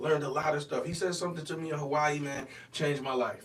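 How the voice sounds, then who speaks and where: A man with a fairly high voice talking very fast, with audible room echo and noticeable background noise. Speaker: pastor and singer. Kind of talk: casual podcast chat.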